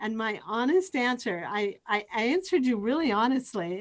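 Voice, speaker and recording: A woman speaks in a plain, everyday voice. Her pitch sits fairly high. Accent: American. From Eastern Washington, US. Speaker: university professor. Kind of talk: casual interview. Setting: video call.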